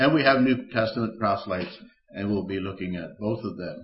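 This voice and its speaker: A man speaks with an American accent at a medium pitch. His is a plain, everyday voice with ordinary pitch variation. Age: 60s. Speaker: preacher. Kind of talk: sermon. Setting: church.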